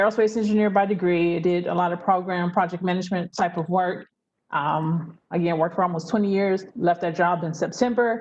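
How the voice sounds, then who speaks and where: Talking at a fairly quick pace with an American accent, a woman with an unremarkable speaking voice keeps a fairly low pitch and fairly even intonation. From US South, Memphis, Tennessee. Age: 40s. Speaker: travel business owner, former aerospace engineer. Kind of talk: interview.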